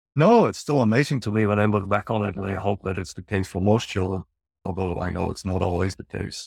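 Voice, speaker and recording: On a very clean recording with a silent background and a dry, close sound with no echo, a man with a Dutch accent talks at a very fast pace. His pitch is fairly low, with ordinary pitch variation. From northern Netherlands. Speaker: psychologist and researcher. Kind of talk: casual interview.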